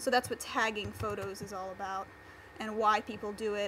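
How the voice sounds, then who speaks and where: A woman talking at a fairly quick pace. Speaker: workshop instructor. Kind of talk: tutorial. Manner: fast.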